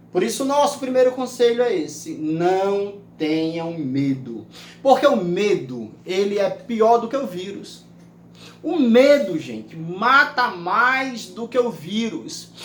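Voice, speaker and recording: A man speaks at a very slow pace in a high pitch. His pitch swings very widely. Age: 60s. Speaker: pastor. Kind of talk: sermon.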